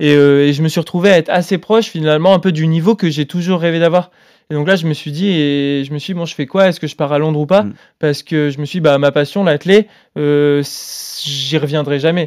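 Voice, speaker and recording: A man with a plain, everyday voice, fairly high in pitch, with fairly even intonation and a fairly quick pace, in a very clean recording over a silent background. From France, Grenoble. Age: 20s. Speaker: marathon runner. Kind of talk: casual interview.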